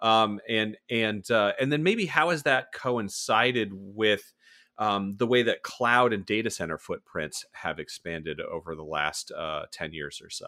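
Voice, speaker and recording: In a very clean recording with a silent background, a bright, sharp voice with an American accent moves at a fairly slow pace, with lively intonation and big swings in loudness. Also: man, medium pitch for a man. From South Florida and northern Virginia. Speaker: podcast host. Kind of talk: casual interview conversation.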